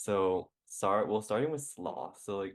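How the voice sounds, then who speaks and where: Against a quiet background, a man speaks with a Southern California accent. His pitch is fairly low and his pace fairly slow. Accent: valley girl. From New York. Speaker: podcast co-host. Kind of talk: casual chat.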